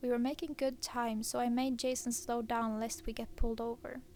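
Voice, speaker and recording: With a Swedish accent, a woman speaks at a moderate pace, her high pitch held in fairly even intonation. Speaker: horror story narrator. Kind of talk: reading aloud.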